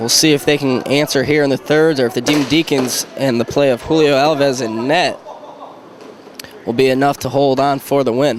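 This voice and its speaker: A man with a fairly high pitch talks at a moderate pace. His intonation is monotone and flat, with noticeable background noise. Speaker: hockey play-by-play announcer. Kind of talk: live sports play-by-play commentary.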